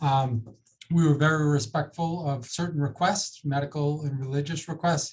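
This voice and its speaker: In an American accent, a man talks at a moderate pace with a fairly high pitch, a somewhat breathy sound, and monotone, flat intonation. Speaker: ambulance service executive. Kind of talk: panel discussion.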